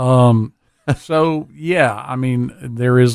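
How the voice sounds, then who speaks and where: A man speaks at a medium pitch with ordinary variation. He has an ordinary speaking voice. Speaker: dive shop owner. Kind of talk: casual radio interview.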